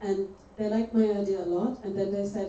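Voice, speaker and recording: Noticeable background noise and audible room echo around a woman speaking at medium pitch. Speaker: lecturer on open source and public policy. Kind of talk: lecture. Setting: lecture hall with audience. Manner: fast when excited.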